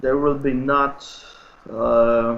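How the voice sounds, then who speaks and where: A man speaks with a Polish accent at a fairly high pitch. His intonation stays monotone and flat. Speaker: speedway photographer. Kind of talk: interview. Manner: halting.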